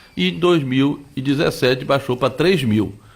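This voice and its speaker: At a moderate pace, a man with an unremarkable speaking voice and medium pitch speaks with lively intonation. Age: 60s. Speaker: politician. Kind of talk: radio interview.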